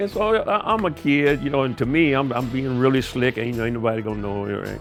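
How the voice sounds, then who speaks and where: Lively intonation from a man of medium pitch with an American accent, at a moderate pace, with music in the background. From Kansas City, Missouri, USA. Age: 80s+. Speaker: home cook, armed forces veteran. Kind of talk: casual storytelling while cooking.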